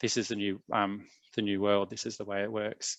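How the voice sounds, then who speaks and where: Over a quiet background, a man speaks with an Australian accent in a fairly low pitch. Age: 40s. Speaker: tenancy legal adviser. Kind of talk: presentation. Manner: hesitant, many fillers.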